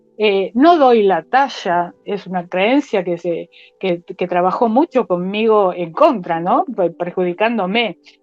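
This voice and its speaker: A woman's lively intonation at a very slow pace. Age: 60s. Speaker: pastor. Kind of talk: testimony; sermon. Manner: halting.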